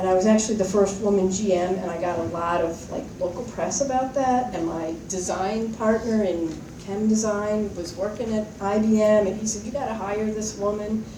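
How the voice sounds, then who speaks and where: Soft-spoken and at a medium pitch, a woman talks with fairly even intonation and hardly any pauses, with audible room echo and noticeable background noise. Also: moderate pace. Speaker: alumna, former student leader. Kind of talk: reunion speech. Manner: casual, rambling with fillers.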